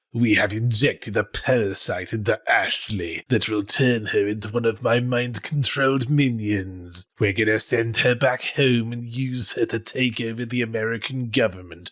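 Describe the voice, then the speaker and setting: A man uses a put-on character voice at a medium pitch with fairly even intonation. He keeps a moderate pace with hardly any pauses in a very clean recording with a silent background. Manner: menacing, gleeful.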